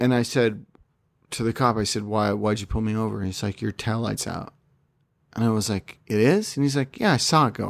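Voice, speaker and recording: A man with a normal speaking voice, medium in pitch, with fairly even intonation. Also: fairly quick pace. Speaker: film podcaster. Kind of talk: casual banter. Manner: joking, teasing.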